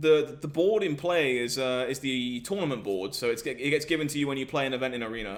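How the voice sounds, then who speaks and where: Speaking at a fairly quick pace in an English accent, a man uses a fairly high pitch with ordinary pitch variation. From southern England. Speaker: gaming streamer. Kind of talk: live stream chat with viewers. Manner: animated.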